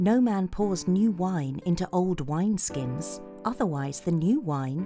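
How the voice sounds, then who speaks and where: A woman with a British accent speaks at a very slow pace in a calm, soothing tone, her fairly low pitch rising and falling in a lively way over background music. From England. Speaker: voice actor. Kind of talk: bedtime Bible story reading.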